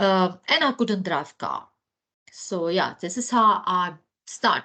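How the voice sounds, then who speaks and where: At a very slow pace, a woman with a Ukrainian accent speaks at a medium pitch with lively intonation. Her tone is bright and sharp, and the background is quiet. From Ukraine. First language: Ukrainian or Russian. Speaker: educational psychologist. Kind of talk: guest talk to students.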